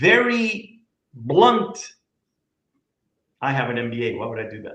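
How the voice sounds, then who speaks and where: A man speaks at a fairly slow pace with very wide pitch swings, and audible room echo surrounds his voice. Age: 50s. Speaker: company CEO. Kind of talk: casual interview. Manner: animated.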